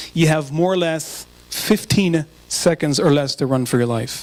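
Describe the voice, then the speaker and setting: This man has a plain, everyday voice with a fairly high pitch and an American accent. He talks at a moderate pace with ordinary pitch variation. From Israel. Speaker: speaker and photographer. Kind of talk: public talk.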